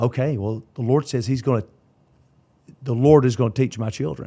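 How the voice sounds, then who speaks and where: The voice has a dark, mellow tone and ordinary pitch variation, with a Southern US accent. It moves at a moderate pace on a very clean recording with a silent background. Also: man. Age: 50s. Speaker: pastor. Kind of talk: casual chat.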